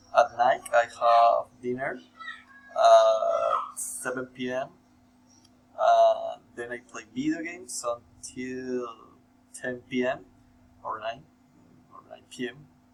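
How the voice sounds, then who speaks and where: Speech moves at a very slow pace with long, frequent pauses and big swings in loudness. Music plays in the background. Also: man. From Colombia. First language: Spanish. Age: 18. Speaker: university student. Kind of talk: scripted self-introduction for class. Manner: halting, many fillers.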